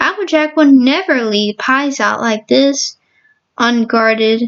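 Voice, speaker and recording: Speaking at a fairly slow pace, a woman uses a high-pitched put-on character voice. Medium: read story. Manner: precise, earnest.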